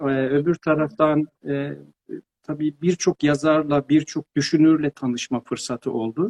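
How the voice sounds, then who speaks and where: Here is a man with an ordinary speaking voice and a fairly high pitch. He talks fairly slowly with fairly even intonation, in a dry, close sound with no echo. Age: 50s. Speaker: pedagogue and author. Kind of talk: interview. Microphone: too quiet at first.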